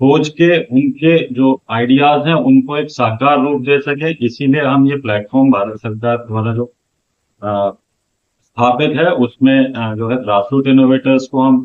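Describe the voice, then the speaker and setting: A man talks in a normal speaking voice. His pitch sits in the medium range, and his intonation is fairly even. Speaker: outreach manager at innovation centre. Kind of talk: interview answer.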